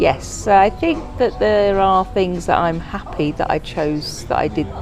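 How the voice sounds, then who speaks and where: With music playing in the background, a woman speaks fairly slowly in an English accent. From England. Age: 60s. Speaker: interviewee. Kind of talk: interview.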